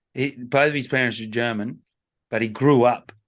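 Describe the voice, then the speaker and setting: Against a quiet background, a man with an Australian accent talks at a moderate pace with ordinary pitch variation. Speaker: surf podcast co-host. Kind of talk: casual chat.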